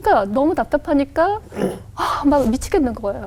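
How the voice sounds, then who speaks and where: A woman speaks over noticeable background noise. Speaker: pastor. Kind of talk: testimony interview.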